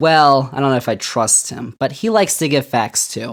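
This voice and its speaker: A man speaks at a moderate pace in a plain, everyday voice, his fairly high pitch carried by lively intonation. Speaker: podcast host. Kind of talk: podcast intro monologue.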